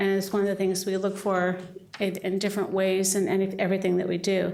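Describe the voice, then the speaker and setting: There is audible room echo around this voice. A woman at medium pitch speaks at a fairly quick pace. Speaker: city staff member presenting to council. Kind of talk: presentation at council meeting. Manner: fast.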